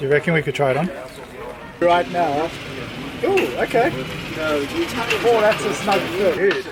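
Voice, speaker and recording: Pausing long and often at a fairly slow pace, a man with a high pitch uses lively intonation against noticeable background noise. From South Africa. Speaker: vlogger. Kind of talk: casual vlog chat.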